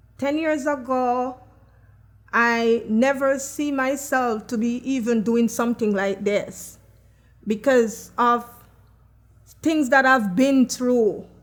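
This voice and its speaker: Very slowly and with long, frequent pauses, a woman with a Jamaican accent talks in a high pitch with fairly even intonation. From Jamaica, Kingston. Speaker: chef and personal support worker. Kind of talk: testimony.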